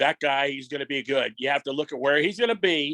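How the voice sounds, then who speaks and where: A raspy, put-on character voice rattles along at a very fast pace. Its pitch moves up and down in an ordinary way. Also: man, fairly high pitch for a man. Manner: emphatic.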